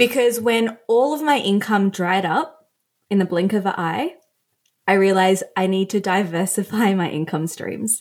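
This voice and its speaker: A medium-pitched woman's voice in an Australian accent, with ordinary pitch variation and a moderate pace. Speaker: fashion stylist and influencer. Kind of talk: casual chat.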